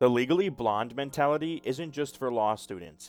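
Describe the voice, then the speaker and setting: Over music in the background, a man speaks with lively intonation at a moderate pace. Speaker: voice-over artist. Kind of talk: comedic social media post reading.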